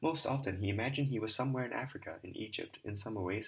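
Ordinary pitch variation within plain reading aloud

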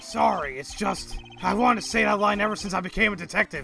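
A man puts on a gruff, high-pitched character voice, raised and projected. He talks at a very fast pace with clear music in the background. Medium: fan dub. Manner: gruff yet sheepish, says pal.

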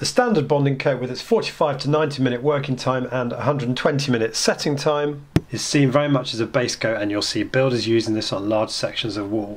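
A man at a moderate pace with ordinary pitch variation and hardly any pauses, with light background noise. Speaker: presenter. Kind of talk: tutorial. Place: office.

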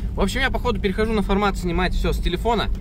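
A man speaks at a very fast pace. The sound is dry with no echo, over noticeable background noise. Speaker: off-road travel vlogger. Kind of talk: casual vlog chat. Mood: cheerful, joking. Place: car. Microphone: phone near.

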